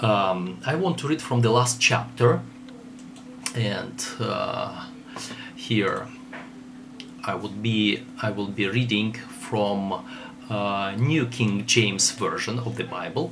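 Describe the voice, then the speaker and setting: Over noticeable background noise, a man with a Russian accent speaks at a very slow pace in a medium pitch, leaving long, frequent pauses. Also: ordinary pitch variation. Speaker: theologian. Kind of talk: lecture. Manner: halting.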